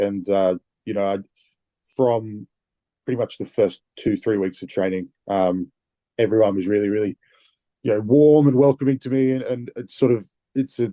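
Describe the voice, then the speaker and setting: A man with an Australian accent speaks at a moderate pace in a fairly low, dark, mellow voice with ordinary pitch variation and long, frequent pauses. The sound is dry and close with no echo, over a quiet background. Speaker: rugby player. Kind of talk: interview.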